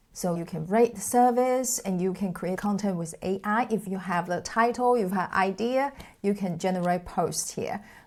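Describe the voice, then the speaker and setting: A woman's medium-pitched voice with a non-native accent, ordinary pitch variation, a moderate pace and hardly any pauses, on a very clean recording with a silent background. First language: not English. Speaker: tech tutorial creator. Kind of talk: tutorial. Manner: casual conversational.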